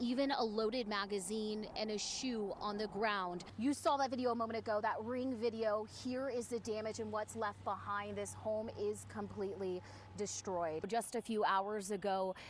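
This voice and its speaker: Noticeable background noise runs under a woman speaking at a moderate pace with hardly any pauses. Her pitch is fairly high, with fairly even intonation. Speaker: TV news reporter. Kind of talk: TV news field report.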